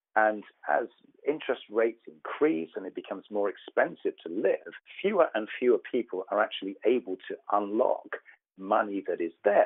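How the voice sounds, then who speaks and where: At a moderate pace, a man talks. He has a British accent. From United Kingdom. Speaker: tech company founder. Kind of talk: interview. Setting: podcast interview. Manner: hesitant with frequent fillers.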